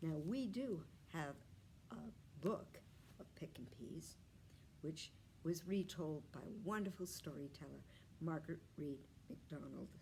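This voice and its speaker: In an American accent, a woman speaks at a very deep, low pitch with a dark, mellow tone, vocal fry and lively intonation, going at a fairly slow pace with long, frequent pauses. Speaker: library storyteller. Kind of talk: children's storytelling read-aloud.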